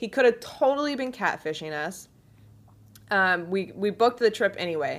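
An unremarkable speaking voice from a woman with an American accent, medium pitch and lively intonation, on a very clean recording with a silent background. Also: moderate pace. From US Midwest, then Pacific Northwest. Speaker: content creator. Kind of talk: casual chat.

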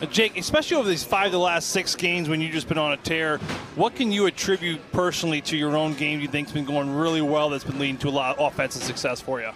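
A man talks at a very fast pace with ordinary pitch variation. His voice sits fairly high, and music plays in the background. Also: hardly any pauses. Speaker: hockey analyst and co-commentator. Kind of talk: sports commentary and analysis.

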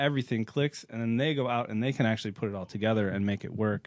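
A man with a normal speaking voice and medium pitch uses ordinary pitch variation over a quiet background. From US Midwest. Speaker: racing driver and driving coach. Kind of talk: casual chat.

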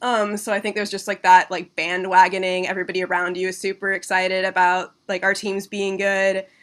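A woman talks at a fairly quick pace with hardly any pauses, her medium pitch held in a monotone, flat intonation. The background is quiet. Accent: American. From Washington State, Seattle area. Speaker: culture critic. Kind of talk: casual chat. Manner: casual, filler-heavy speech.

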